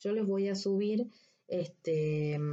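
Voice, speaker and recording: This voice belongs to a woman. It has a dark, mellow tone. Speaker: anatomy lecturer. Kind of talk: recorded lecture. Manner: deliberately slow; halting, many fillers.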